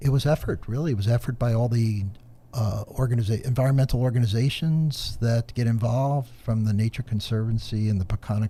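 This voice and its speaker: A man's somewhat breathy voice with a dark, mellow tone, fairly even intonation and a moderate pace. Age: 60s. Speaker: environmental professional. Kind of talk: podcast discussion.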